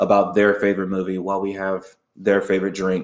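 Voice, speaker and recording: The background stays quiet. Speech proceeds at a moderate pace. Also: man. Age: 30s. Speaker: podcast host. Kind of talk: solo podcast monologue. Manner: hesitant, many filler words.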